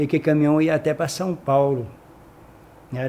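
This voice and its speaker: The speaker is a man. His voice sits fairly high. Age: 60s. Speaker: retired company employee. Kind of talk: oral history interview. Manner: halting.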